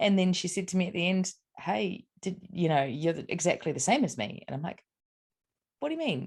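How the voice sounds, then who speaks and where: Somewhat breathy, lively speech from a woman with a New Zealand accent, at a fairly quick pace. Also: medium pitch for a woman. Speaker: psychic medium and spiritual mentor. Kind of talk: interview, casual chat. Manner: hesitant, many fillers.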